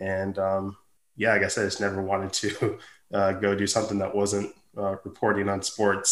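In a very clean recording with a silent background, a man speaks with an American accent at a moderate pace. His voice is fairly low, with a bright, sharp tone. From Montana, US (Billings). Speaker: sports beat writer. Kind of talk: interview. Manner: halting, many fillers.

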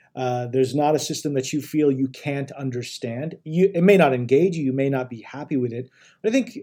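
Here a man talks at a fairly quick pace. His tone is dark and mellow, and his intonation lively. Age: 40s. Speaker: chief technology officer. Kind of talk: interview. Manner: halting, many fillers and repetitions.

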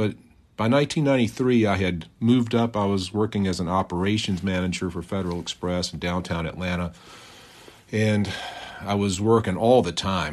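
Fairly low pitch for a man, a normal speaking voice, moderate pace and ordinary pitch variation from a male speaker. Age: 50s. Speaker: podcaster. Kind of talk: personal testimony monologue. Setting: outdoors in a park.

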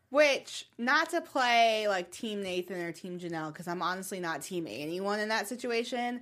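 Speaking in an American accent, a woman with a normal speaking voice uses lively intonation at medium pitch. Her pace is moderate, and the very clean recording has a silent background. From US South. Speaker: TV after-show host. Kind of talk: casual chat.

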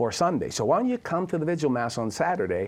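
A man with a Boston accent against a quiet background. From Boston, US. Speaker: recovery advocate and author. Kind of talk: interview testimony.

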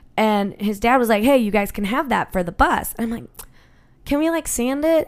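Lively intonation comes through in a Western New York accent at a moderate pace. The recording is very clean, with a silent background. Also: woman. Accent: Western New York (Inland North) American. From Buffalo, New York. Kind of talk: casual chat.

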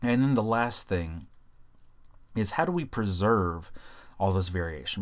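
A man with an American accent, fairly low pitch, ordinary pitch variation and a fairly slow pace. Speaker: biology teacher podcast host. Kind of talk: educational lecture, casual and profane. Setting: solo podcast recording. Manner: casual, conversational.

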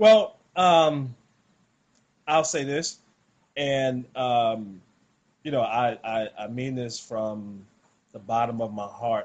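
Someone with a Southern US accent speaks at a very slow pace, with long, frequent pauses. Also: man, medium pitch for a man, ordinary pitch variation. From US South, rural South Carolina. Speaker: former pro basketball player, wellness product seller. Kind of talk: casual interview, sales pitch.

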